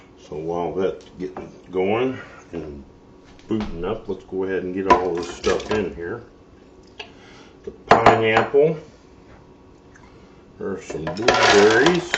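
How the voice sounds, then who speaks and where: A man with a fairly low voice speaks at a very slow pace, with long, frequent pauses, amid noticeable background noise and audible room echo. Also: big swings in loudness. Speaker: cooking channel host. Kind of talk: cooking tutorial. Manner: casual, hesitant with fillers; loud.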